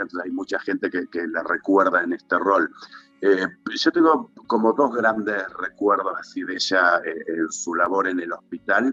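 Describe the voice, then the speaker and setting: Music plays in the background as a man speaks at a fairly slow pace in a dry, close sound with no echo. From Tierra del Fuego, Argentina. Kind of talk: interview answer.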